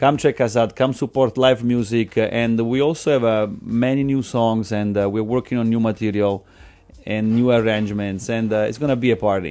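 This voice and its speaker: Speaking with an Italian accent, a man talks at a moderate pace and medium pitch, his dark, mellow tone carried on fairly even intonation. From Italy. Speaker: musician. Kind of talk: radio interview. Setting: studio. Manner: halting.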